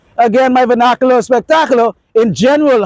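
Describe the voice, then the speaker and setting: Extremely high in pitch, a man talks at a fairly quick pace in a dry, close sound with no echo. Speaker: dating and astrology video creator. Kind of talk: unscripted monologue to camera. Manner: fast; confident, few pauses.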